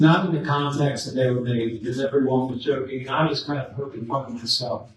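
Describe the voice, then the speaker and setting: Through audible room echo, a man at medium pitch speaks at a very fast pace with fairly even intonation. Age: 40s. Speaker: school principal at a disciplinary hearing. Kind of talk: testimony. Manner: loud.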